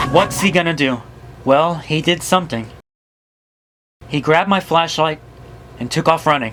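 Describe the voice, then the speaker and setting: Over music in the background, a man with a fairly high pitch speaks with long, frequent pauses. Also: ordinary pitch variation, moderate pace. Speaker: YouTuber. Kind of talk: horror story narration.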